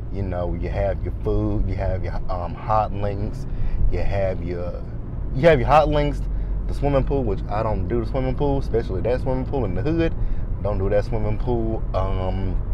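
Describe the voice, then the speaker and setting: The speech comes at a moderate pace with a dry sound with no echo, though background noise is noticeable. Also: man. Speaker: vlogger driving. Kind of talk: casual vlog chat. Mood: relaxed, upbeat. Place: car. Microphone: lapel.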